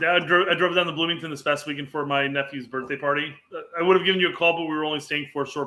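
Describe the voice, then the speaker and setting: A man with a Midwestern US accent talks at a very fast pace. His pitch is fairly high, and his intonation fairly even. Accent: US Midwest. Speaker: football podcast co-host. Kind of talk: casual chat.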